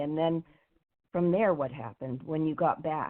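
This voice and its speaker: Fairly low in pitch, a woman speaks at a fairly quick pace in an unremarkable speaking voice. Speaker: women's coach and interview host. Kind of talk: interview questions.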